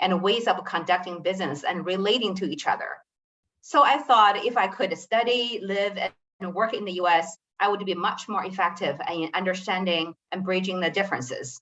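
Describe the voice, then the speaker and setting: Speaking at a moderate pace in a Chinese accent, the voice shows ordinary pitch variation. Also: woman. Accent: Chinese-accented American English. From China. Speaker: business executive. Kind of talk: panel discussion.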